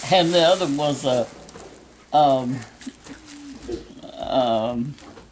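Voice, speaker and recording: Against noticeable background noise, a woman with a very deep, low pitch speaks at a very slow pace with ordinary pitch variation. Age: 80s+. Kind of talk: interview answer. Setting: home, background noise. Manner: slow, hesitant.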